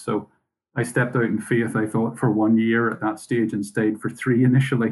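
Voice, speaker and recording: At a fairly quick pace, a man talks with a Northern Irish accent. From Northern Ireland. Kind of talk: casual interview. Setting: video call.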